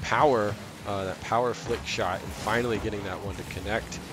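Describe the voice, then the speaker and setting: Against noticeable background noise, a man with a fairly low pitch speaks at a fairly quick pace in an animated tone. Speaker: esports play-by-play caster. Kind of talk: live esports play-by-play commentary. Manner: animated, reactive, with bursts of excitement and laughter; rapid, fluid play-calling that keeps pace with the action.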